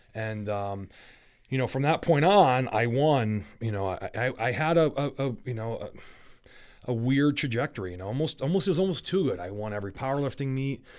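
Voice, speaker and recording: In a very clean recording with a silent background, a man with an unremarkable speaking voice talks at a fairly quick pace and medium pitch with lively intonation. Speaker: strongman athlete. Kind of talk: casual chat. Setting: studio.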